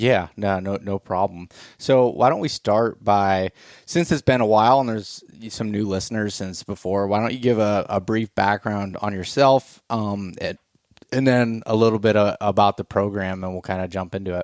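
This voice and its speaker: At a moderate pace and with fairly even intonation, an unremarkable speaking voice comes through a dry, close recording with no echo. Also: man, fairly low pitch for a man. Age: 30s. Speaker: podcast host. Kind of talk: casual chat.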